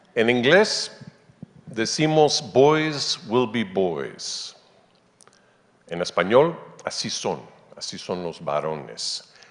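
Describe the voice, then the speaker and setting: A man's very slow speech with vocal fry and very wide pitch swings. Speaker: anthropology professor. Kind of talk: conference talk. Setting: conference stage with audience.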